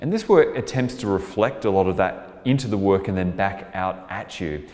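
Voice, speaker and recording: This man speaks with an Australian accent. His pitch is fairly low. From Australia (Melbourne). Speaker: artist and composer. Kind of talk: interview monologue about artwork.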